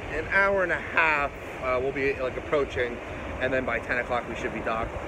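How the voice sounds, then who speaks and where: Recorded dry with no echo, a man's voice comes through noticeable background noise. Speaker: travel vlogger. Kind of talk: casual vlog chat. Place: boat. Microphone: phone near.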